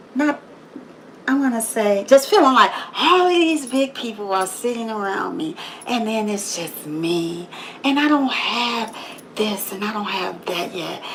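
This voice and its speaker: A loud voice with very wide pitch swings speaks at a fairly slow pace. Noticeable background noise and audible room echo fill the recording. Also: woman, fairly high pitch for a woman. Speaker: motivational livestreamer. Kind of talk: motivational monologue. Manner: loud and assertive.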